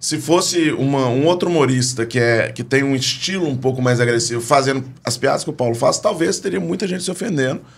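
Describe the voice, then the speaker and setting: At a fairly quick pace with hardly any pauses, a man speaks at medium pitch with lively intonation. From Minas Gerais, Belo Horizonte. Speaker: comedian. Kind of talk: casual chat. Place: studio. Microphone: studio mic.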